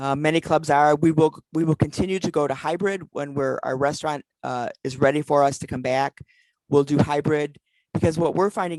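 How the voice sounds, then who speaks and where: A woman's very deep, low voice at a fairly quick pace, dry and close with no echo. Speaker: past president of a service club organization. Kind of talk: virtual conference talk; Q&A. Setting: video call. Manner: fast; animated.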